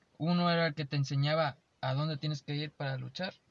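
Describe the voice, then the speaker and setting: At a moderate pace, a man with an ordinary speaking voice talks at a fairly high pitch. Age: 20s. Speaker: podcast co-host. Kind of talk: casual chat.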